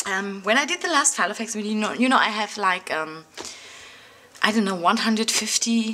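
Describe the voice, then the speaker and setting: A woman with a German accent, light background noise behind her. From Germany. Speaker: craft and art YouTuber; art YouTuber. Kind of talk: casual vlog talk to camera. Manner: hesitant, many fillers. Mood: reflective, slightly defensive.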